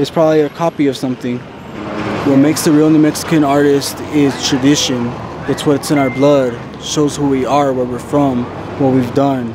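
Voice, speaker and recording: A man with a fairly high pitch speaks in a monotone, flat intonation. The sound is dry with no echo, and there is noticeable background noise. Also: moderate pace. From Santa Fe, New Mexico. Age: young. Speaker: documentary subject. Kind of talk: documentary interview answer. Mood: frustrated, defiant about art. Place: street.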